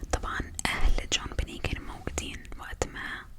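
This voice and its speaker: Whispered words at a very slow pace, with noticeable noise in the background. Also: woman. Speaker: ASMR content creator. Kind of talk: true crime storytelling narration.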